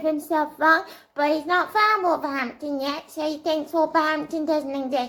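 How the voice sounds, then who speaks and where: This is a put-on character voice at a high pitch. It moves at a moderate pace. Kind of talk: improvised role play. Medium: role play. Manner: excitable, stammering.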